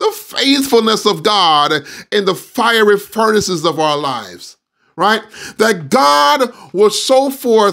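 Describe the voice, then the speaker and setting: A man's high, bright, sharp voice with lively intonation and a quiet background. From Jamaica. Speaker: pastor; preacher. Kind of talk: sermon. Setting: video call. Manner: hesitant, many fillers. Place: home room. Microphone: studio mic.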